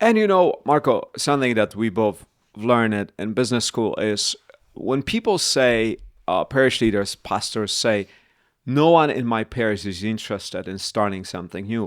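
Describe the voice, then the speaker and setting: A man with a Polish accent and ordinary pitch variation, on a very clean recording with a silent background and a dry, close sound with no echo. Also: medium pitch for a man, moderate pace. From Poland. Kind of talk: podcast conversation.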